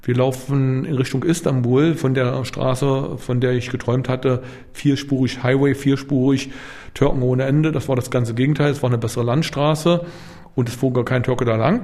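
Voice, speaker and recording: Speaking at a moderate pace, a man uses an ordinary speaking voice with a medium pitch and ordinary pitch variation. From East Berlin, Germany. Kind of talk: interview testimony. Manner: casual.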